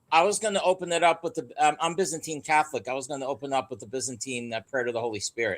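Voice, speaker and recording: This man talks at a very fast pace in a Philadelphia accent. His voice is fairly high with lively intonation. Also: hardly any pauses. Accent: Philadelphia American English. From US Northeast, Philadelphia. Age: 60s. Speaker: guest expert on geology and the Flood. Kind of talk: podcast interview.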